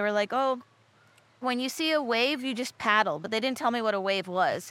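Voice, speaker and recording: A woman with an American accent speaks fairly quickly in a bright, sharp tone with ordinary pitch variation. The recording is very clean, with a silent background. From Texas and Michigan. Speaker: professional surfer. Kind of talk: casual chat. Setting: studio.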